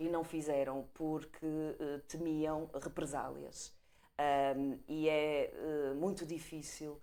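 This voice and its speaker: A woman's very deep, low voice, dark and mellow in tone, delivered in a flat monotone. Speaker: panel commentator. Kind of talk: panel debate.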